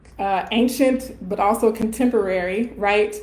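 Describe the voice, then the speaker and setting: A woman talks very slowly with fairly even intonation while noticeable background noise is heard. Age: 30s. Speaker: colorism educator and professor. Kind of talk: live Q&A. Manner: casual, filler-heavy.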